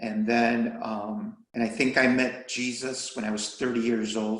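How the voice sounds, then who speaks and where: Amid audible room echo, a man with a medium pitch speaks in a monotone, flat intonation. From Chicago, US (born in Mexico). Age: 60s. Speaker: retired deacon and army veteran. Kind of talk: interview.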